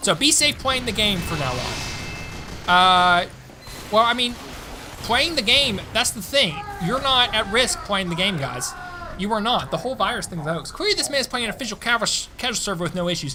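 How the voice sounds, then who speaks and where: Over noticeable background noise, a man with an American accent uses a raised, projected voice at a high pitch, animated in tone, with very wide pitch swings and long, frequent pauses. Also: fairly quick pace. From Tennessee, US South. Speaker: gaming streamer. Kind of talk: live stream chat. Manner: casual, animated.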